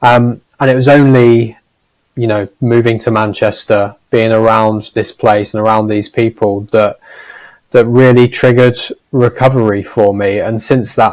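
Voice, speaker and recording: A man speaks with a Norfolk accent at a medium pitch. His pace is fairly slow and his intonation fairly even. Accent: Norfolk accent, noticeable. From Norfolk, eastern England. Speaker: gambling harm charity leader. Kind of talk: panel discussion.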